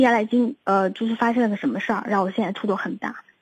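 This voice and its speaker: A woman with a fairly high pitch speaks in a somewhat breathy voice. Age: 30s. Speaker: caller seeking relationship advice. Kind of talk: phone-in advice call. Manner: halting, repetitive.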